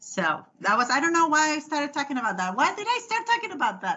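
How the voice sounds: A woman's high, bright, sharp voice at a fast pace, with big pitch swings.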